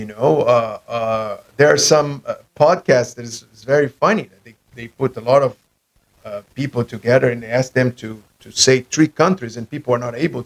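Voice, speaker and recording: A man with a non-native accent is heard in a dry, close sound with no echo. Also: medium pitch for a man, ordinary pitch variation, moderate pace. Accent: foreign accent, non-native English. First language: not English. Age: 40s. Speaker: podcast host. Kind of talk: casual chat. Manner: halting, many fillers.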